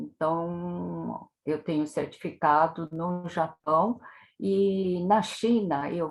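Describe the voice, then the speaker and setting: A woman speaks at a fairly low pitch. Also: very clean recording, silent background. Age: 70s. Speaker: tai chi instructor. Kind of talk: interview.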